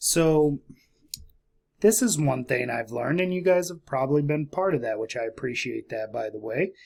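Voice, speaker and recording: Quiet and dark, with a mellow tone, a man speaks in a very clean recording with a silent background. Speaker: investing YouTuber. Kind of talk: casual vlog. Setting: at home late at night. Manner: quiet, keeping voice down.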